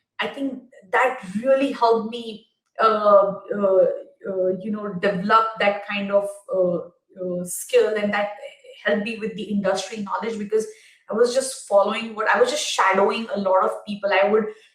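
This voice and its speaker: Speaking at a moderate pace and medium pitch, a woman keeps her intonation fairly even, leaving long, frequent pauses. Room echo is audible. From India. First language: not English (English is her third language). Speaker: tech executive. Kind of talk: conference talk. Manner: hesitant, many fillers.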